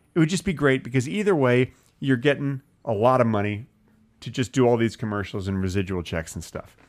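Over a very clean recording with a silent background, a man speaks fairly quickly at a medium pitch with lively intonation. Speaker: comedy podcast co-host. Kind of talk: casual chat. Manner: presentational, announcer-like delivery.

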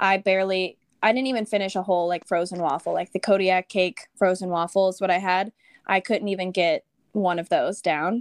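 A woman with an American accent speaks in a normal speaking voice at medium pitch, fairly quick and with fairly even intonation. The recording is very clean, with a silent background and a dry, close sound with no echo. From Texas. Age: 20s. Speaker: amateur marathon runner. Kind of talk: interview conversation.

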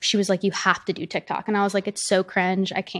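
With an American accent and monotone, flat intonation, a woman speaks at medium pitch on a very clean recording with a silent background. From US South. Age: 20s. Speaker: social media influencer. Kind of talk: casual chat.

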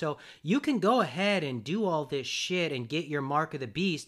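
Ordinary pitch variation in a man's voice pitched fairly high. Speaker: podcast host. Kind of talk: casual conversation. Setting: in person, shared mics. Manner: loud.

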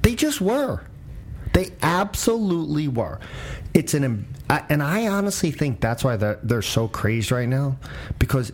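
Noticeable noise sits behind a man speaking fairly slowly with long, frequent pauses. His fairly high pitch swings very widely. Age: 50s. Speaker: political commentator, podcast host. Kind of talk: casual debate.

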